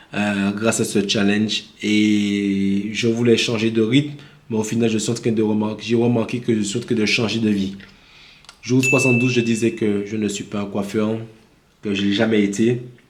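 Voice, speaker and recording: A man with a Martinican accent, fairly low pitch, monotone, flat intonation and a moderate pace, amid audible room echo. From Martinique. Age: 30s. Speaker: vlogger. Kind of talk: casual vlog monologue. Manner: improvised, hesitant with fillers.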